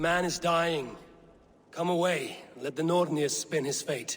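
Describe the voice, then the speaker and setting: A man puts on a raspy character voice at a high pitch. He speaks at a moderate pace. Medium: video game. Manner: measured, grave.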